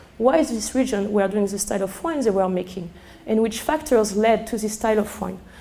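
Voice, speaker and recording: A woman's fairly high voice with ordinary pitch variation, amid audible room echo and noticeable background noise. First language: French. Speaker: sommelier. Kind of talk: lecture. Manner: halting; animated.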